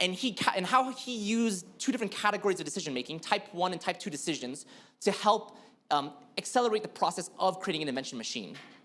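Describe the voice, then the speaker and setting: Talking very fast, a man uses a high pitch with very wide pitch swings. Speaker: blockchain developer speaker. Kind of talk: conference talk.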